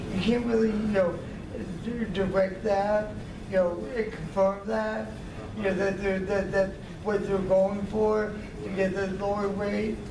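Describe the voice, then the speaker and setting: Amid noticeable background noise, a man with a high pitch talks at a fairly slow pace, with long, frequent pauses. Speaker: community member. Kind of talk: public comment. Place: meeting room. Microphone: camera far.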